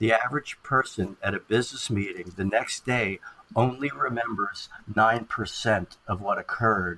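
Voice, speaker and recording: Over noticeable background noise, a man talks at a moderate pace. His pitch is medium, with ordinary variation. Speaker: communication expert, keynote speaker. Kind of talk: podcast interview answer.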